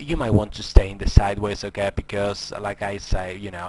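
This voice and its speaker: There is noticeable background noise as a man with a non-native accent speaks in a fairly low voice with fairly even intonation. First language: not English. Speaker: forex trading educator. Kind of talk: screen-recorded trading tutorial. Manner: hesitant, many fillers.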